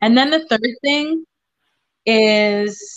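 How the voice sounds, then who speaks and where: A woman with a fairly high pitch, ordinary pitch variation and a somewhat breathy voice. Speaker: singer-songwriter. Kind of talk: casual interview chat.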